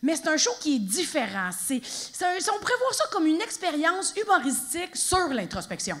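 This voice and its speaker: A woman with a Quebec accent, at a fairly quick pace. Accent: Québécois French. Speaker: stand-up comedian. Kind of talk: live stand-up comedy performance. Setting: live theatre audience. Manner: energetic, playful.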